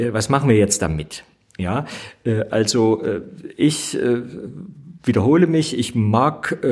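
This man talks at a very slow pace in a medium-pitched voice. His intonation is lively. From East Germany. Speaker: theologian and state politician. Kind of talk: debate discussion.

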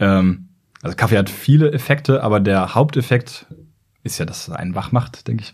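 Somewhat breathy, a man speaks at a moderate pace with a fairly low pitch and ordinary pitch variation. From northern Germany, Braunschweig. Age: 30s. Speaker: neurologist and YouTuber. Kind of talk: casual interview. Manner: hesitant with fillers.

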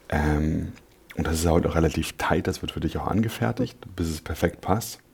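Somewhat breathy, very deep, low male tones at a moderate pace. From Berlin, Germany (Neukölln). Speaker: actor. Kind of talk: interview. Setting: studio.

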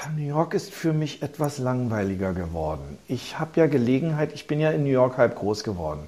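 Over noticeable background noise, a man speaks at a moderate pace with hardly any pauses and very wide pitch swings. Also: medium pitch for a man. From Berlin, Germany. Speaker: businessman and investor in culture venues. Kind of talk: interview. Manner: halting, many fillers and repetitions.

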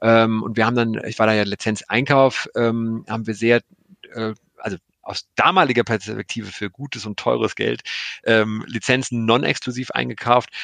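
A man speaks in a normal speaking voice at medium pitch and a moderate pace. His intonation is fairly even, and the sound is dry and close with no echo. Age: 40s. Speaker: streaming content executive. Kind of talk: interview. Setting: video call.

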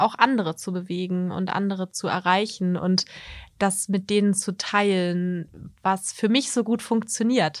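A woman at a very slow pace. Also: very clean recording, silent background. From Harz region, Germany. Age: 30s. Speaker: model and communications consultant, long-distance hiker. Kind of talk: interview. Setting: studio. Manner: hesitant with many fillers.

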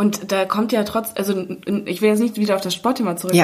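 The intonation is fairly even. Noticeable background noise runs underneath. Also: woman. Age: 20s. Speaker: podcast host and magazine editor. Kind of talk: casual chat. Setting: makeshift home podcast booth.

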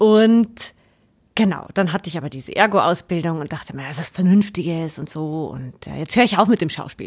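A woman has a normal speaking voice, fairly low in pitch with ordinary pitch variation and big swings in loudness. She talks at a fairly quick pace on a very clean recording with a silent background. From Upper Palatinate, Bavaria. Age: 30s. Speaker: actress and occupational therapist. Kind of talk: casual interview.

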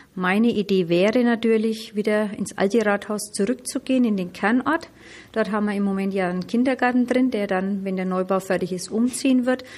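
A woman has an ordinary speaking voice with a fairly high pitch. She talks fairly quickly with ordinary pitch variation. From Middle Franconia, Germany. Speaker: mayor. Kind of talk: interview. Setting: on location.

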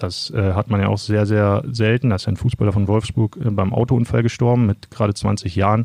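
At a moderate pace, a man speaks in a monotone, flat intonation with a fairly low pitch. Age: 30s. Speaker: sports journalist. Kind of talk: interview.

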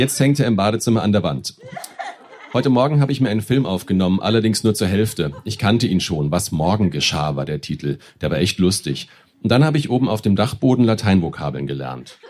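Speaking at a fairly quick pace, a man with a fairly low pitch swings his voice very widely over noticeable background noise. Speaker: stage reader. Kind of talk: reading aloud. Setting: stage with audience.

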